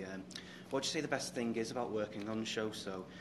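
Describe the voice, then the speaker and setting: Speaking at a very fast pace with a British accent, a man shows ordinary pitch variation over audible room echo. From Britain. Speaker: fan channel interviewer. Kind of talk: interview. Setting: fan convention. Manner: halting, many fillers.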